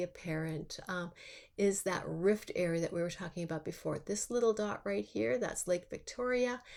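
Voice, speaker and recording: A woman at a medium pitch speaks with lively intonation. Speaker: university lecturer. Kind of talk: recorded lecture. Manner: halting, many fillers.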